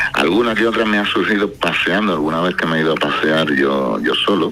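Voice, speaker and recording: A man speaks over music playing in the background. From Spain, Cádiz. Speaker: singer-songwriter. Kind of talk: radio interview.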